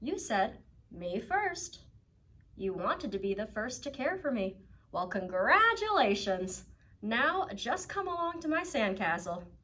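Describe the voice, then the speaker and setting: Cackling in a put-on character voice, a woman swings very widely in pitch around a fairly high level at a fairly slow pace. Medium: read story. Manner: bossy, gleefully teasing.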